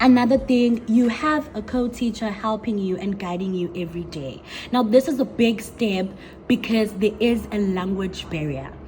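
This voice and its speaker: At a moderate pace, a woman speaks in a fairly high voice over noticeable background noise. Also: ordinary pitch variation. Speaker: English teacher and vlogger. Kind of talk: casual vlog talk.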